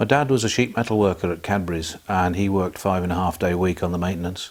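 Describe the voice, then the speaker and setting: Very fast speech from a man with a very deep, low pitch, ordinary pitch variation and a Birmingham accent. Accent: Birmingham (Brummie) English. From Birmingham, England (Selly Oak). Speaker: hospital theatre support worker. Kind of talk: oral history interview.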